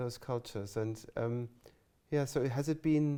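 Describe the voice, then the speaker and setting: A man speaks with a German accent at a moderate pace. His tone is dark and mellow, with ordinary pitch variation. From Germany. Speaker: music college teacher and interviewer. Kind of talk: oral history interview. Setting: interview room at a music college. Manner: halting, many false starts.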